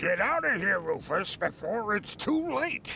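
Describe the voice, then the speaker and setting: Over clear background noise, a man puts on a character voice with extremely high pitch and speaks fairly slowly. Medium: video game. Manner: sarcastic, scornful.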